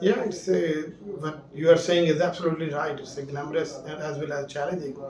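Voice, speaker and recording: Someone with a Punjabi accent speaks over noticeable background noise with audible room echo. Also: man. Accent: Indian Punjabi English. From India, Punjab (Jalandhar). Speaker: space scientist. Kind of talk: interview.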